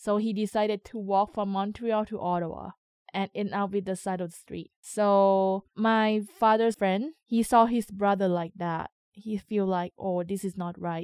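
A woman with a Thai accent speaks at medium pitch and a fairly slow pace, with hardly any pauses. Her intonation is fairly even, and the sound is dry and close with no echo. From Thailand. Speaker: community radio coordinator. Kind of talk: interview testimony.

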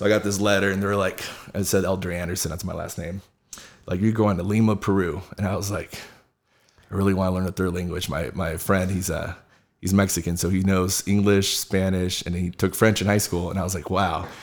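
A man's very deep, low voice with an American accent, a fairly quick pace and monotone, flat intonation, on a very clean recording with a silent background. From Southern California. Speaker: fitness entrepreneur and sales team leader. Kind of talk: casual interview chat.

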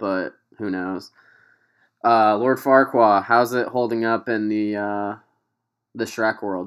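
A man with a fairly low pitch speaks at a very slow pace in a flat monotone, with long, frequent pauses. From US Midwest, Quincy, Illinois area. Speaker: podcast host. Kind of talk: casual chat. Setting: video call.

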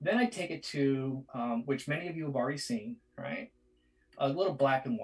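With a Boston accent, the voice is somewhat breathy and moves at a moderate pace with lively intonation. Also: man, fairly high pitch for a man. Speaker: artist. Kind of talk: live drawing tutorial. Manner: halting.

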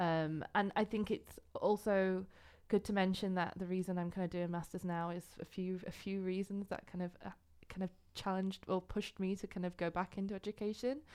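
Over a silent background in a very clean recording, a woman talks at medium pitch and a fairly quick pace. Her intonation stays monotone and flat. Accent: northern English. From England, North Yorkshire. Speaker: artist and art student. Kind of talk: podcast interview. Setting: recording studio.

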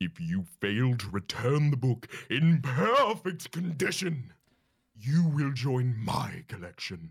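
Putting on a growling character voice, a man speaks at a fairly slow pace from a medium pitch, swinging very widely up and down. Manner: growling, menacing.

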